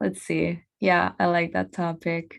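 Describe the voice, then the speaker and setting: A woman speaks with a non-native accent against a quiet background. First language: not English. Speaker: podcast host. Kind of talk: casual monologue. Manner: halting.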